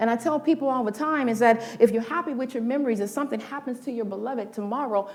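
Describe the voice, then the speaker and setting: Speaking at a fairly quick pace with an American accent, a woman has a fairly high pitch, ordinary pitch variation and a plain, everyday voice. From South Central Los Angeles. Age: 60s. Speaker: motivational speaker and minister. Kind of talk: inspirational talk.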